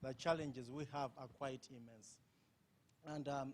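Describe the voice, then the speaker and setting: With a strong Ugandan accent, a man talks at a fairly quick pace in a fairly high pitch. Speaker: conference panelist. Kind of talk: panel discussion. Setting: conference with audience.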